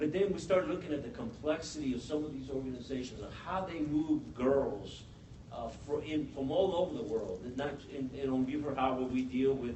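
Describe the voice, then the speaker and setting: There is noticeable background noise and audible room echo. A man with a fairly high pitch speaks at a moderate pace with ordinary pitch variation. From Mexico. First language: Spanish. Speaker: police officer. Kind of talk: panel discussion. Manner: halting, with many restarts.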